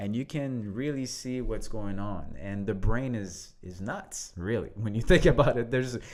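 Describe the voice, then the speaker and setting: With an audible room echo, a man in a French accent talks with lively intonation and hardly any pauses. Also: medium pitch for a man, moderate pace. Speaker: leadership coach, podcast co-host. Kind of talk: casual conversational podcast.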